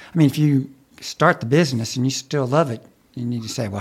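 Speaking at a very fast pace, a man with an American accent uses a medium pitch and ordinary pitch variation. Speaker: co-host, college dean. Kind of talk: casual interview.

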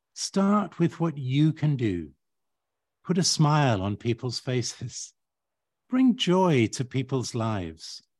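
Recorded dry and close with no echo over a quiet background, a man at medium pitch swings his pitch very widely in a somewhat breathy voice. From Uganda and Kenya. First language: Swahili. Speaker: architect. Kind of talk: interview.

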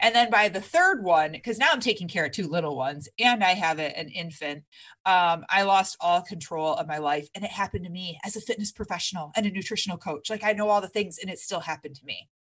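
A woman talks with an American accent in a medium pitch and an animated tone, at a very fast pace with hardly any pauses. The background is quiet. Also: ordinary pitch variation. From Michigan. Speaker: fitness coach. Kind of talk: casual chat.

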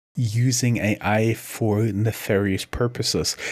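A man speaks with a German accent and fairly even intonation. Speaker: podcast co-host, entrepreneur. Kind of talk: casual chat.

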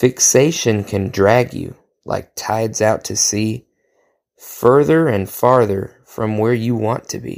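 In a very clean recording with a silent background, a man with an American accent talks at a very slow pace, his medium pitch showing ordinary pitch variation. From Oklahoma. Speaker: poet. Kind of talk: reading aloud.

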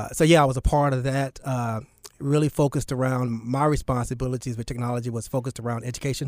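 A man's very fast speech in an American accent, at medium pitch, with monotone, flat intonation. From US South, Charlotte, North Carolina. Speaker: nonprofit founder. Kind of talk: interview. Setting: radio studio.

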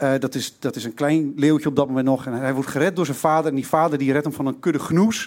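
With ordinary variation in his pitch, a man talks in a fairly high register. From Twente, eastern Netherlands. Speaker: storyteller. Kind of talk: live storytelling. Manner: halting.

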